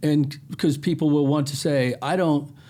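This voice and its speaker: Over music in the background, a man talks in a fairly high voice. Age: 60s. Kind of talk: casual chat.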